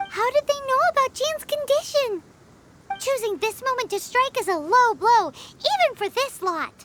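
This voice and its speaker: A put-on character voice at an extremely high pitch, delivered at a moderate pace with music in the background. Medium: video game.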